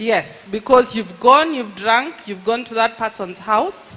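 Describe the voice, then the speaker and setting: Noticeable background noise sits behind a woman talking at a fairly slow pace. She has a fairly high pitch and lively intonation. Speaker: lawyer. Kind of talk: public talk. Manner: animated.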